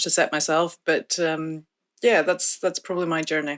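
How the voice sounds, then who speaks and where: A woman speaks with a fairly low pitch. The recording is very clean, with a silent background. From northeast Scotland. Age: 50s. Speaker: study participant. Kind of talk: interview.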